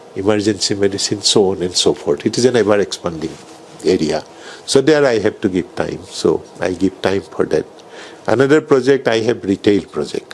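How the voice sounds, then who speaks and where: Noticeable background noise sits under a man speaking at a moderate pace with a fairly low pitch and ordinary pitch variation. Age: 70s. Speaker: neurologist and hospital founder. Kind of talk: interview.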